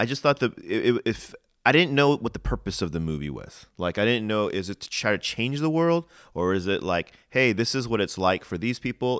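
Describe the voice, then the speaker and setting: In a very clean recording with a silent background and a dry, close sound with no echo, a man with an American accent speaks at a moderate pace with lively intonation. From US, Korean American family. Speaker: podcast co-host. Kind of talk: casual chat. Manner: halting.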